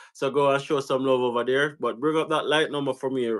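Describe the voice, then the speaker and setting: With a Jamaican accent, a man talks at a fairly quick pace in a fairly high voice, on a very clean recording with a silent background. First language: Jamaican Patois. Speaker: YouTube host. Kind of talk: live-stream interview.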